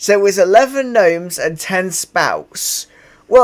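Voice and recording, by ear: Someone reads a passage aloud in a natural voice.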